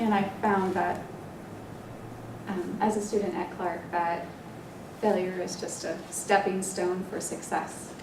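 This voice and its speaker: With long, frequent pauses, a woman speaks at a fairly slow pace and medium pitch in a monotone, flat intonation, with noticeable background noise and audible room echo. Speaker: student athlete. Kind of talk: prepared speech. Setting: board meeting. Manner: hesitant, many fillers.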